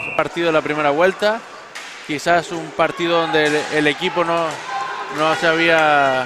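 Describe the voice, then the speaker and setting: A man's fairly high-pitched voice with fairly even intonation and long, frequent pauses, amid noticeable background noise. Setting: sports arena (hockey pavilion).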